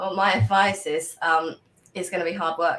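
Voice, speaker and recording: In an English accent, a woman speaks at a fairly quick pace and fairly low pitch with a bright, sharp tone and fairly even intonation. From England. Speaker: brand strategist. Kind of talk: interview.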